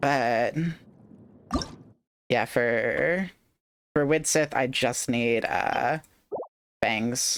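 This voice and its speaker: The speech comes at a very slow pace in a Southern Californian accent. Long pauses break it up often. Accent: Valley Girl. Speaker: game streamer. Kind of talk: casual chat.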